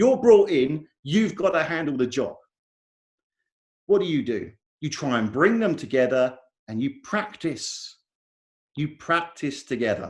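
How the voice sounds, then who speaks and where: With an English accent, a man speaks at a fairly slow pace in a fairly high pitch, his voice swinging very widely and broken by long, frequent pauses. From England. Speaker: software conference speaker. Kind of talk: conference talk.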